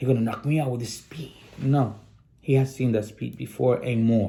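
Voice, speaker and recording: A man with a non-native accent, medium pitch and animated tone at a moderate pace. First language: Spanish. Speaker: sports channel host. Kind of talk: casual commentary monologue. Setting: studio.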